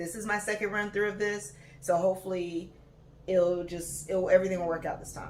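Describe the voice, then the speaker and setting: At a moderate pace, a woman of medium pitch speaks amid noticeable background noise and audible room echo. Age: 20s. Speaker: podcast host, graduate student. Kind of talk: casual monologue podcast. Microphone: no proper microphone, built-in device mic.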